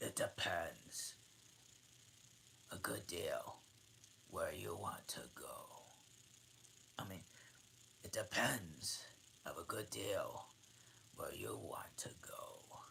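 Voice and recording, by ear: Using a raspy put-on character voice at an extremely high pitch, a man talks at a very slow pace with long, frequent pauses.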